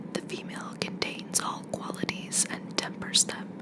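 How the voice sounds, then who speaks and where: At a moderate pace, a whisper carries over noticeable background noise. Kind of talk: ASMR poetry reading. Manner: whispered.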